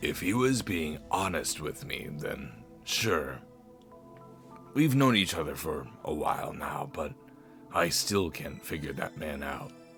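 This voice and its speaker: With clear music in the background, a man performs a raspy put-on character voice at a very deep, low pitch and a fairly slow pace. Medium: game stream. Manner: dry, self-assured.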